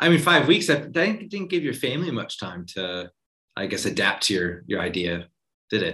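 A man's medium-pitched voice has a bright, sharp tone and vocal fry. His pitch swings very widely. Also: moderate pace. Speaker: podcast host. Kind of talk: casual interview conversation. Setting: video call.

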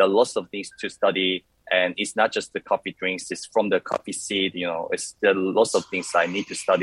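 A man speaks with a Korean accent. The sound is dry and close, with no echo. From South Korea. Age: 30s. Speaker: coffee competition champion. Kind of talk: interview.

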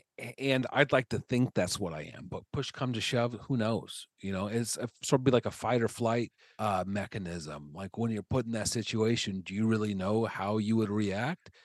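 Against a quiet background, a man with a Midwestern American accent speaks at a fairly low pitch with ordinary pitch variation, the sound dry and close with no echo. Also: moderate pace, hardly any pauses. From Nebraska. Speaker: stand-up comedian. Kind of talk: casual chat. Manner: halting.

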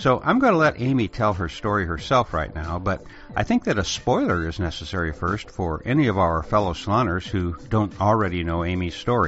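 A man's very deep, low voice at a fairly quick pace, with hardly any pauses, ordinary pitch variation and noticeable background noise. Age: 70s. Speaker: podcast host. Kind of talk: scripted narration.

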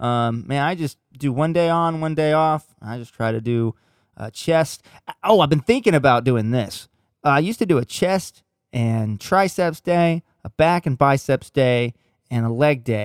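Recorded in a dry, close sound with no echo, a man speaks at a fairly slow pace with lively intonation and a fairly high pitch. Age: 30s. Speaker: sound engineer. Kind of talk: casual chat. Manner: animated, laughing often.

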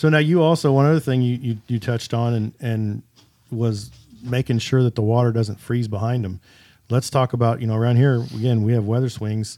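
Speaking at a fairly quick pace with a Midwestern American accent, a man has a medium-pitched voice with a dark, mellow tone. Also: fairly even intonation. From Kansas. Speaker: podcast host and shop owner. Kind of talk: casual interview. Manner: halting, many fillers.

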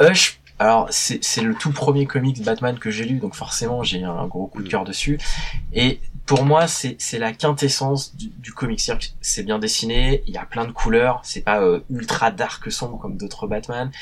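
Somewhat breathy and medium in pitch, a man speaks at a fairly slow pace with lively intonation. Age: 30s. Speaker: journalist and comics specialist. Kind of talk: casual chat.

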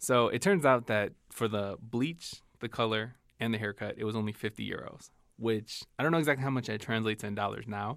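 A man with a Chicago accent talks at a fairly quick pace in a medium pitch with ordinary variation, captured in a very clean recording against a silent background. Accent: Chicago American English. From US Midwest, Chicago. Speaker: diversity training specialist and co-host. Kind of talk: casual chat. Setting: studio.

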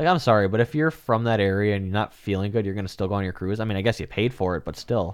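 A man with a Wisconsin accent talks at a very fast pace, with hardly any pauses and ordinary pitch variation. His pitch is fairly low, and the recording is very clean with a silent background. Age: 20s. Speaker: real estate agent. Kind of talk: casual chat.

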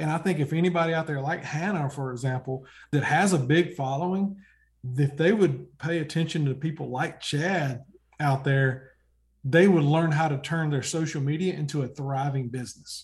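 In an American accent, the speaker uses fairly even intonation at a moderate pace, sounding somewhat breathy. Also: man, fairly high pitch for a man. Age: 40s. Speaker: hunting TV show host. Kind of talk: casual chat.

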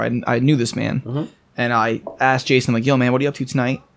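Over noticeable background noise, someone talks very fast with an American accent. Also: man. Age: 20s. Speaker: brewery representative. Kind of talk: casual chat.

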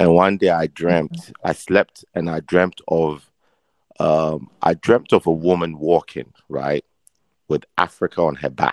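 The recording has a dry, close sound with no echo. In it, a man speaks with a very deep, low voice. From Ghana. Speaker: fashion accessory brand owner. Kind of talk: casual interview. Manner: animated, laughs often.

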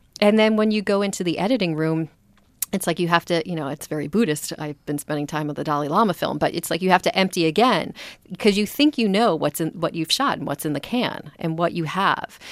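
Heard in a very clean recording with a silent background, a woman with a plain, everyday voice speaks at a fairly low pitch with lively intonation. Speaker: filmmaker and film series curator. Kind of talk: casual chat.

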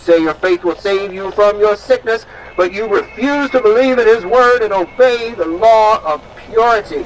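A man talks at a moderate pace with hardly any pauses, his voice high and his pitch varying normally. His loudness swings widely, and background noise is noticeable. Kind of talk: performed sermon parody. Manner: mock-preacherly, sardonic, theatrical.

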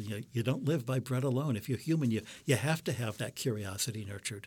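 With an American accent, a man speaks somewhat breathily and with lively intonation on a very clean recording with a silent background. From US Midwest, Detroit. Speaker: astronomer and religious brother. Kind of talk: interview conversation. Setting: studio.

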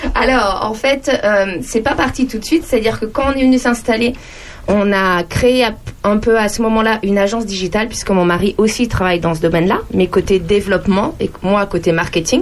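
A woman with a fairly high voice talks at a moderate speed, her pitch varying in an ordinary way while noticeable noise sits in the background. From France, various regions. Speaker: entrepreneur and digital trainer. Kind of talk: radio interview.

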